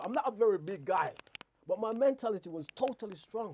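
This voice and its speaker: This man speaks at a very fast pace with a high pitch. His intonation is lively. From Jamaica. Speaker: radio host. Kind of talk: casual chat. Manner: halting, repetitive.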